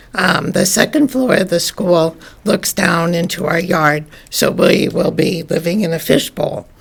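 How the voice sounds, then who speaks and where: Over noticeable background noise, a woman with a fairly low voice speaks at a fairly slow pace with ordinary pitch variation. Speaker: resident giving public comment. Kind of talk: public comment at council meeting. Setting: city council meeting.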